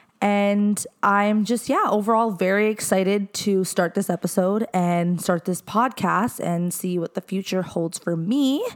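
Noticeable background noise under a woman's medium-pitched, fairly slow voice, its pitch varying in an ordinary way. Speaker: podcast host. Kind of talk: casual chat. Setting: living room at home.

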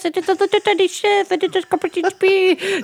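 This put-on character voice sits at an extremely high pitch, playful in tone and delivered at a moderate pace. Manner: playful, cutesy.

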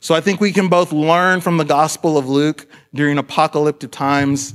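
With a normal speaking voice, a man speaks at a fairly high pitch with ordinary pitch variation on a very clean recording with a silent background. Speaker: pastor. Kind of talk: sermon. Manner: casual, conversational.

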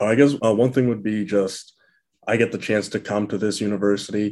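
A fairly quick pace with fairly even intonation. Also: man. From New Hampshire, US. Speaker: college football player. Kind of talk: interview. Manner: hesitant, many fillers.

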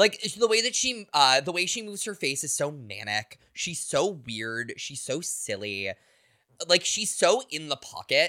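In a very clean recording with a silent background, a man with a fairly high pitch and vocal fry talks fairly slowly in a bright, sharp tone, his pitch swinging very widely. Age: 30s. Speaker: podcast co-host. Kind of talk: casual chat.

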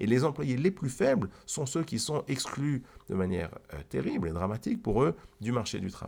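A man talks at a medium pitch and a moderate pace. His pitch swings very widely, with vocal fry. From Switzerland, Geneva. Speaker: economics podcast co-host. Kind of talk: explanatory conversation. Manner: halting, frequent repetitions.

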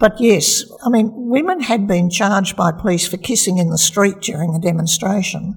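A woman with an Australian accent speaks at a medium pitch and a moderate pace. She shows ordinary pitch variation and hardly any pauses, over noticeable background noise. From Australia, Melbourne. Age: 70s. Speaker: retired community health doctor. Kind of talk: personal life story interview. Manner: halting, with fillers.

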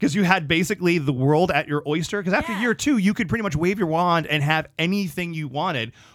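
Talking at a very fast pace with hardly any pauses, a man with an American accent uses a high pitch and ordinary pitch variation, captured in a very clean recording with a silent background. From US South, Orlando, Florida. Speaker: close-up magician. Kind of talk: interview, casual chat. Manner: lively.

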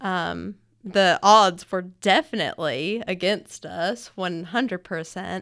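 Speaking at a very slow pace with vocal fry, a woman with an Alabama accent is heard in a very clean recording with a silent background. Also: medium pitch for a woman, ordinary pitch variation. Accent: Southern US (Alabama). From Alabama, US South (Florence). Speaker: restaurant franchise owner. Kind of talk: casual interview chat. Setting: studio.

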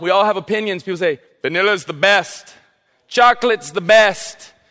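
A raised, projected voice with an American accent and a bright, sharp tone, at a very fast pace with ordinary pitch variation. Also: man. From South Carolina coast. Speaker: youth pastor. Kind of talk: sermon. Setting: church. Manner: casual, halting with fillers.

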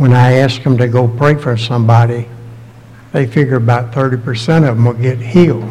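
A man at medium pitch and a moderate pace, intonation fairly even, with noticeable background noise. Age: 80s+. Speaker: preacher. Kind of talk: sermon. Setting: church.

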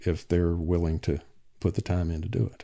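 A man in a North Carolina accent, very deep and low in pitch, with a dark, mellow tone. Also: very clean recording, silent background. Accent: Southern US (North Carolina). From US South, Alamance County, North Carolina. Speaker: old-time fiddler. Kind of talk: interview. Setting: at home. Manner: halting, many fillers.

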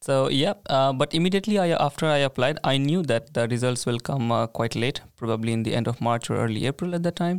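A man's medium-pitched voice at a very fast pace with hardly any pauses, very even loudness and ordinary pitch variation, the sound dry and close with no echo. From India. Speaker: master's student. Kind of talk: casual chat.

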